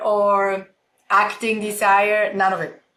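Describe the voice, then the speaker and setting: Audible room echo surrounds a woman with a Swiss accent whose fairly high voice has a bright, sharp tone. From Switzerland, small village. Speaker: keynote speaker and entrepreneur. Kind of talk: interview.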